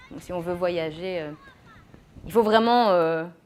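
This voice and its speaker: The woman's pitch sits in the medium range and moves with ordinary variation. She talks fairly slowly. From Belgium, Mons. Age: 20s. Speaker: teacher. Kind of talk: interview.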